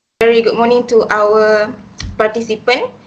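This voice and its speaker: A fairly high-pitched woman with a Malaysian accent at a moderate pace, amid noticeable background noise. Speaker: student interviewer. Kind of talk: scripted introduction.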